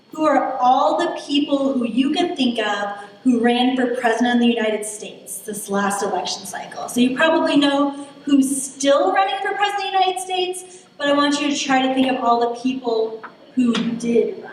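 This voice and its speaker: A woman with a high pitch speaks at a moderate pace amid noticeable background noise and audible room echo. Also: lively intonation. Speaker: political science lecturer. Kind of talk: lecture. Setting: stage with audience at a lectern.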